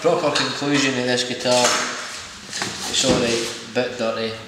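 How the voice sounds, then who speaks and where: A man speaks through loud background noise, and room echo is audible. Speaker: guitar reviewer. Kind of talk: casual guitar review to camera. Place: home room. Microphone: camera far.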